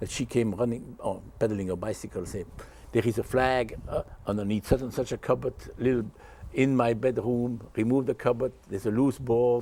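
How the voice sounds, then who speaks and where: With a Dutch accent, a man speaks at a moderate pace and medium pitch, his tone dark and mellow and his intonation fairly even. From Belgium. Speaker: war survivor. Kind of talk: interview.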